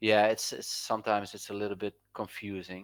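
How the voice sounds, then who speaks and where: With a non-native accent, a man speaks in monotone, flat intonation at a fairly low pitch. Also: dry, close sound with no echo. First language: Dutch. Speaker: crypto trading indicator developer. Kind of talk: casual chat.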